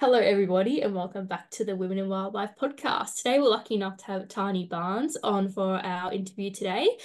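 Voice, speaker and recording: A woman with an Australian accent at a medium pitch, talking at a very fast pace with hardly any pauses and big swings in loudness. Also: ordinary pitch variation. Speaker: podcast co-host. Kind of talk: interview.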